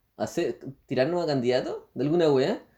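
A man with a Chilean accent speaks at a moderate pace, his fairly high voice dark and mellow in tone with ordinary pitch variation. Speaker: podcast co-host. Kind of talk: casual chat.

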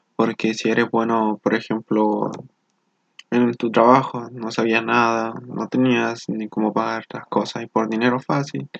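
Using an ordinary speaking voice, a man talks at a fairly slow pace and medium pitch with fairly even intonation, the sound dry and close with no echo. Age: 20s. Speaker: engineering student. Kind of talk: motivational monologue.

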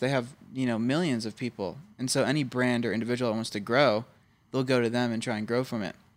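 Over a silent background on a very clean recording, a man with an American accent talks at a very fast pace in an animated tone, with medium pitch and ordinary pitch variation. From suburban Philadelphia, US. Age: 20s. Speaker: podcast host. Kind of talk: casual banter. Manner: animated, jokey.

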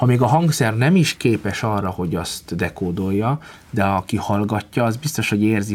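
In a normal speaking voice, a man with a fairly low pitch talks at a moderate pace. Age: 30s. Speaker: concert pianist. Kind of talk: interview.

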